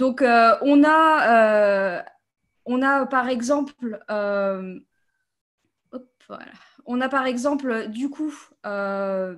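Against a quiet background, a woman with a high pitch and ordinary pitch variation talks at a very slow pace, with long, frequent pauses and big swings in loudness. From France, south of Paris. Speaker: game designer; interviewee. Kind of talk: interview. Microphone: video call.

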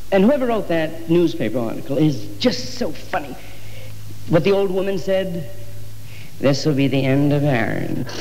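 Speaking at a moderate pace with lively intonation, a man leaves long, frequent pauses. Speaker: stand-up comedian. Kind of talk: stand-up comedy monologue. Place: stage. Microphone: old recording.

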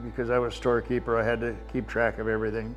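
A man speaks with an American accent over faint background music. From US Pacific Northwest, Seattle. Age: 90s. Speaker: war veteran. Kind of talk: interview testimony. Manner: halting. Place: home room. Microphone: lapel.

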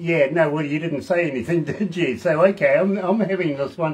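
Fairly high pitch for a man, with ordinary pitch variation

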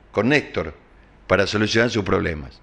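A man is speaking. His pitch swings very widely. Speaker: TV news host. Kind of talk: news commentary show. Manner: animated.

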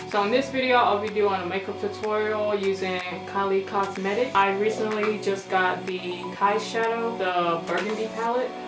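Clear music plays in the background. The speech runs on with hardly any pauses. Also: woman, moderate pace. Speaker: beauty vlogger. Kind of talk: casual makeup tutorial talk to camera. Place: home room. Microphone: camera far.

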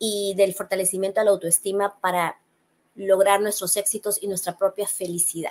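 She has a normal speaking voice with medium pitch. The woman talks at a moderate pace. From Peru. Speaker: psychologist; guest. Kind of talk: interview. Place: home room. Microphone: webcam.

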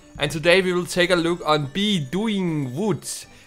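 Music plays behind a man speaking at a fairly slow pace. His pitch is fairly high, with ordinary variation. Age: 20s. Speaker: gaming YouTuber. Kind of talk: casual gaming commentary. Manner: loud, excitable.

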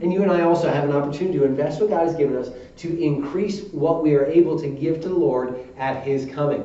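A man with a fairly high pitch talks at a very fast pace, with hardly any pauses. His pitch varies in an ordinary way, and room echo is audible. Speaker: Baptist preacher. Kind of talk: sermon preaching to a congregation. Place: church. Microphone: podium.

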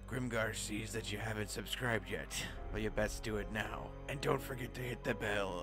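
A man's put-on character voice at a moderate pace, over loud music in the background. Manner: theatrical, playful.

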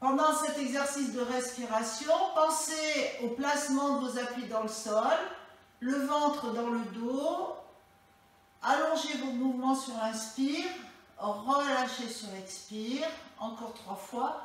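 A woman speaks with a high pitch at a very slow pace, leaving long, frequent pauses. Strong room echo surrounds her voice. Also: ordinary pitch variation. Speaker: fitness instructor. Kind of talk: exercise class instruction. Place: home room. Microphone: camera far.

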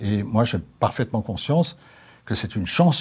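A man's voice, somewhat breathy. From Alsace. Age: 70s. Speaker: retired politician. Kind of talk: interview monologue. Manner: hesitant, many fillers. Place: studio. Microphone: lapel.

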